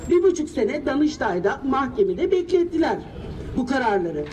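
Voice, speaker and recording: Over light background noise, the speaker moves at a moderate pace with very wide pitch swings. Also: woman. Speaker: local resident affected by the project. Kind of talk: rally speech. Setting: outdoors at a protest. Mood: earnest, aggrieved. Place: street. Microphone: handheld.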